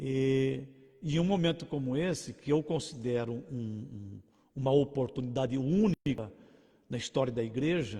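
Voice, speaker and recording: A man's somewhat breathy voice with a dark, mellow tone, medium pitch and ordinary pitch variation, at a fairly slow pace. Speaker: pastor. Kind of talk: sermon. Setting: livestream. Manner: halting.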